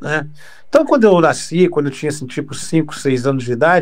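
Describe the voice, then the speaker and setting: Very wide pitch swings run through a man's speech. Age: 60s. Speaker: radio broadcaster. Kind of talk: interview. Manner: halting, with frequent repetitions.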